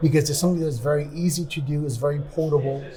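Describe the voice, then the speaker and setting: Someone talks at a very fast pace with fairly even intonation. Noticeable background noise and audible room echo fill the recording. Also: man. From New York City, raised by Spanish-speaking family. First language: Spanish. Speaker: podcast host, business professional. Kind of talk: interview conversation.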